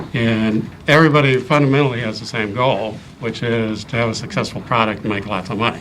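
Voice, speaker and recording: With audible room echo and noticeable background noise, a man with a slight Midwestern accent talks at a fairly quick pace in a medium pitch and with ordinary pitch variation. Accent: slight Midwest. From US Midwest, Ohio. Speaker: engineer and board candidate. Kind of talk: interview. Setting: town board meeting. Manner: hesitant with frequent ums.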